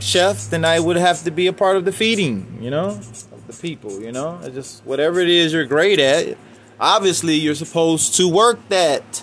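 A man's fairly high voice with lively intonation at a moderate pace, music in the background. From Chicago, US. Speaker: independent musician and podcaster. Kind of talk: solo monologue, casual rant. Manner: rambling, conversational.

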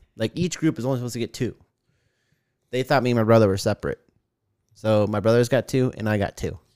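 On a very clean recording with a silent background and a dry, close sound with no echo, a man at medium pitch talks at a very fast pace with ordinary pitch variation and long, frequent pauses. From Arizona, Tucson. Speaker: podcast co-host. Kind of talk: casual chat. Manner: animated.

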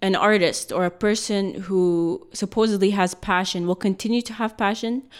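On a very clean recording with a silent background, a woman speaks in a normal speaking voice at a medium pitch and moderate pace, with ordinary pitch variation. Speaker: podcast host. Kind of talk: casual interview chat.

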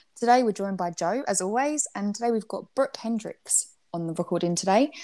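A woman with an English accent speaks fairly quickly in a fairly high voice with lively intonation, on a very clean recording with a silent background. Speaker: podcast host. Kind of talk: casual interview.

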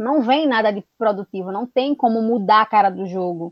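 The woman keeps a moderate pace. Her pitch varies in an ordinary way. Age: 20s. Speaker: football commentator and historian. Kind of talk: casual football discussion.

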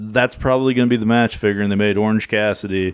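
The man's voice sits fairly low in pitch, and the background is quiet. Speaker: wrestling podcast co-host. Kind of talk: casual chat. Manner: mumbling.

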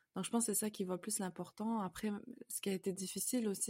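A woman's dark, mellow tone with fairly even intonation, dry and close with no echo. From Canada (moved from France at about 5). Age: 20s. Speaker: convert sharing her story. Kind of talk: testimony. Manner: halting, many fillers.

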